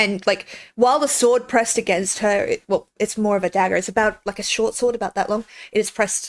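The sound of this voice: Speech in an unforced reading voice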